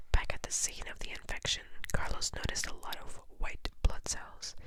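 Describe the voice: A woman is whispering. She keeps a moderate pace.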